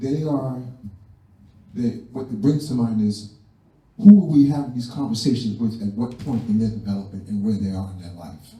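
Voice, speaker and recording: A man's medium-pitched, somewhat breathy voice with a dark, mellow tone, ordinary pitch variation, a moderate pace, long and frequent pauses, big swings in loudness and audible room echo. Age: 70s. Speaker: community elder. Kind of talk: community discussion remarks. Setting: community center event.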